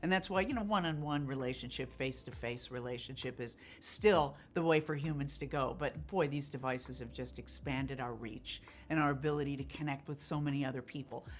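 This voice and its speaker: A woman's very deep, low voice with vocal fry and ordinary pitch variation. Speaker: actor and voice of an ad campaign. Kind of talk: interview answer.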